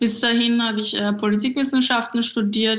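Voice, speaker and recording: A woman speaks at a fairly quick pace. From Austria, Vienna. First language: Japanese (bilingual with German) (speaking German). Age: 20s. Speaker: stand-up comedian. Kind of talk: interview.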